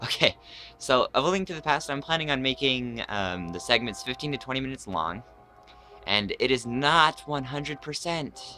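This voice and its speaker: A man with a medium pitch talks with lively intonation over background music. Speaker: let's play gamer. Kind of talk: game commentary. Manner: fast.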